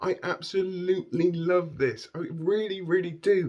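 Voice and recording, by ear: A man's high voice at a fairly slow pace, with ordinary pitch variation.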